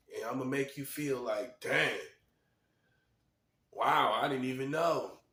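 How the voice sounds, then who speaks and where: With an animated tone, a man speaks at a moderate pace. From North Carolina. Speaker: video commentator, self-styled prophet. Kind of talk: monologue rant to camera. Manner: animated, emphatic and repetitive.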